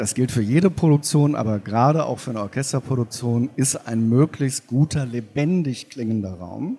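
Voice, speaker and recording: A man with a medium pitch speaks at a fairly slow pace in a dark, mellow tone with lively intonation. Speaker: sound engineer. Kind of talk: interview. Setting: stage with audience.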